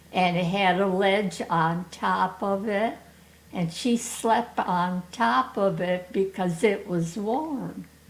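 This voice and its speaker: A woman with an American accent speaks at medium pitch and a very slow pace, with ordinary pitch variation. Noticeable background noise runs underneath. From Michigan. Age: 80s+. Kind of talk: interview answer. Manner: slow, hesitant.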